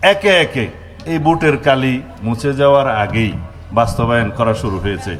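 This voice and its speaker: This man speaks at a medium pitch. His pitch swings very widely. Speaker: politician, home minister. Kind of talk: political rally speech. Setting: outdoors with microphone.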